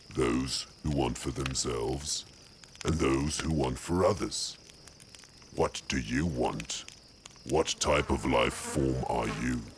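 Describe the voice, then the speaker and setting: A man uses a put-on character voice in a calm tone at a fairly slow pace. Background noise is clearly audible. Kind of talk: character monologue. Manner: calm, welcoming.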